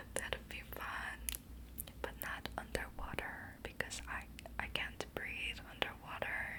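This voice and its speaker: A woman whispers very slowly while noticeable background noise carries on. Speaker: ASMR creator. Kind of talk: whispered ASMR ramble to help viewers sleep. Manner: whispered, soft-spoken, slow.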